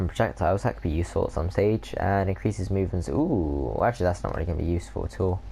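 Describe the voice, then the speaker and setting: A man talks at a fairly quick pace in a dark, mellow tone, his very deep, low pitch carrying vocal fry and very wide pitch swings. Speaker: gaming video creator. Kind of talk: let's play commentary. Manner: fast; halting, stumbling over words.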